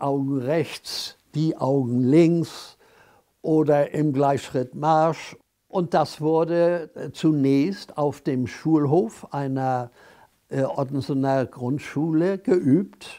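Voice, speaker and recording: Against a quiet background, a man speaks very slowly in a dark, mellow tone with fairly even intonation. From Hamburg. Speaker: contemporary witness. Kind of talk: interview answer. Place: home room. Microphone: lapel.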